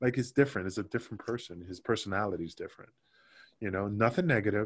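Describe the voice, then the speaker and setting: At a very fast pace, a man with a New York accent speaks in a somewhat breathy, fairly low voice on a very clean recording with a silent background. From New York, Queens. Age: 40s. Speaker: former pro wrestler. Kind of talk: casual interview.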